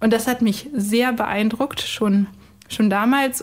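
A woman with a normal speaking voice, fairly high in pitch, with ordinary pitch variation and a moderate pace. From Cologne. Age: 30s. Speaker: biostatistician. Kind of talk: testimony.

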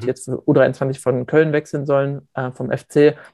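A man speaks at a moderate pace in a dark, mellow tone with fairly high pitch. His intonation is monotone and flat, and the sound is dry and close with no echo. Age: 20s. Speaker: former youth footballer, student. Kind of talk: interview.

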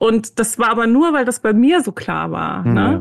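A plain, everyday voice from a woman, with ordinary pitch variation and a fairly high pitch. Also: quiet background. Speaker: author and meditation teacher. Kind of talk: interview.

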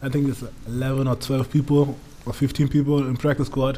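Over noticeable background noise, a man with a German accent talks at a moderate pace and medium pitch. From Germany, Munich. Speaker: American football player. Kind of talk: casual chat. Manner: halting.

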